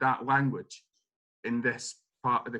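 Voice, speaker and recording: Speaking in an Edinburgh accent, a man uses a medium pitch and a moderate pace. His tone is bright and sharp. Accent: Scottish (Edinburgh). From Scotland, Edinburgh. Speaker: playwright. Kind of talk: interview conversation.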